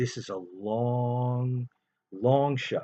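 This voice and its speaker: A man talks with a New York accent. His pitch sits in the medium range. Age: 50s. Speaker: gambling commentator. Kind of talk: casual monologue. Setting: in bed.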